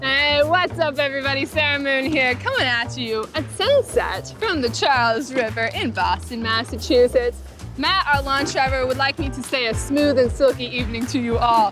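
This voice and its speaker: A woman at a moderate pace, dry sound with no echo, clear music in the background. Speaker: rowing instructor. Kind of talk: workout class instruction. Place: waterside.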